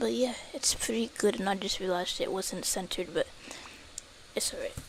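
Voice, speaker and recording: A woman talks fairly quickly while noticeable background noise plays behind her. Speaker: game streamer. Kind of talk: casual live stream chat. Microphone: quiet stream audio.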